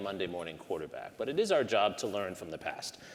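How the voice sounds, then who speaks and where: Amid noticeable background noise, a man's pitch swings very widely. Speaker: history professor. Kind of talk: panel discussion.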